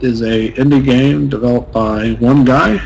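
A man speaks at a moderate pace while noticeable noise carries on behind him. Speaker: gaming YouTuber. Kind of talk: let's play commentary. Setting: home recording setup.

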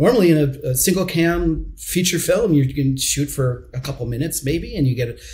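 A man's somewhat breathy, fairly high voice at a moderate pace, with ordinary pitch variation. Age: 40s. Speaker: TV series director; interview guest. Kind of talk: interview. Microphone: earbuds.

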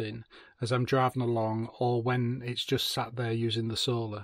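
The voice is somewhat breathy and flat in intonation, at a moderate pace, against a quiet background. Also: man. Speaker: van lifer reviewing gear. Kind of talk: product review tutorial. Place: car. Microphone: phone near.

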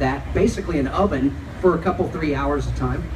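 A man's fairly quick speech is accompanied by noticeable noise in the background. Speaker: event host. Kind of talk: fan Q&A. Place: stage.

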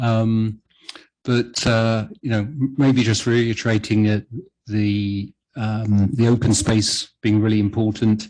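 A man with a British accent talks at a very slow pace in a monotone, flat intonation. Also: medium pitch for a man, very even loudness. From UK. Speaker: planning commissioner chairing the meeting. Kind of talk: public meeting discussion. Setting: city planning commission meeting. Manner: halting, many fillers and restarts.

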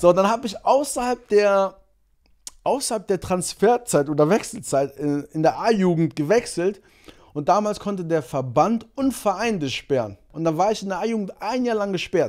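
Against a quiet background, a man with a high pitch talks at a moderate pace with lively intonation. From Germany, Monheim (Rhineland); born in Angola; Germany. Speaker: sprinter; podcast guest. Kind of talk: casual chat. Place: studio. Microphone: studio mic.

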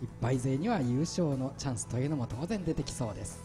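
Over music in the background, a man talks at a medium pitch with lively intonation. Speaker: paper sumo play-by-play announcer. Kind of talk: sports play-by-play commentary. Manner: fast, excited.

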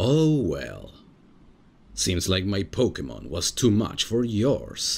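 This man speaks slowly in a put-on character voice, low-pitched with vocal fry and very wide pitch swings.

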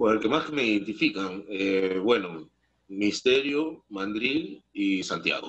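A man with a fairly low pitch speaks very slowly, his intonation lively. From Peru. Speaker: actor. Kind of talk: casual chat. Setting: video call. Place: home room. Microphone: video call.

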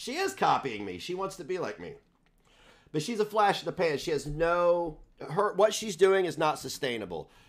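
Against a quiet background, a man with a high pitch and lively intonation speaks at a moderate pace with big swings in loudness. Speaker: livestream host. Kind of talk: casual livestream chat. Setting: live stream. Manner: crude and abrasive. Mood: critical, dismissive. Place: home room. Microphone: headset.

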